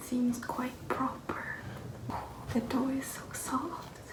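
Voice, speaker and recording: Someone talks at a very slow pace over noticeable background noise. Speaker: vlogger. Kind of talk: casual vlog narration. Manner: calm; soft-spoken.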